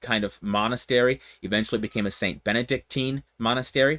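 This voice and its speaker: On a very clean recording with a silent background, a man speaks at a fairly quick pace in a medium-pitched, bright, sharp voice with ordinary pitch variation, the sound dry and close with no echo. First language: Pennsylvania Dutch. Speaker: pastor. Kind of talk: casual teaching talk to livestream viewers. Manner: hesitant, with frequent fillers and restarts.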